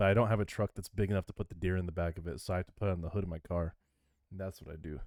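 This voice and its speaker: This man speaks very fast with an American accent and a very deep, low pitch. The sound is dry and close, with no echo. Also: fairly even intonation. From Michigan. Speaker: podcast co-host. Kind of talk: casual chat; news reading.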